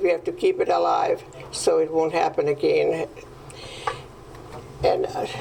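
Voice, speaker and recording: A woman speaks at a moderate pace. There is noticeable background noise. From Hungary. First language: Hungarian. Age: 90s. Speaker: Holocaust survivor. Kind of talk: testimony. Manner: halting. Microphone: microphone problem.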